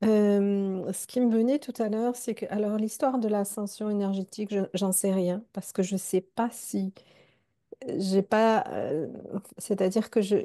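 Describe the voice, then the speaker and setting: Speaking fairly slowly with fairly even intonation, a woman has a dark, mellow tone. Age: 60s. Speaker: circle participant. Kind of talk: personal testimony. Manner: halting, many hesitations.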